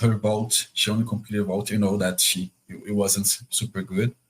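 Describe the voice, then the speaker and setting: In a Portuguese accent, the voice moves at a fairly quick pace. The intonation is flat and monotone. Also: man. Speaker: podcast host. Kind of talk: casual chat.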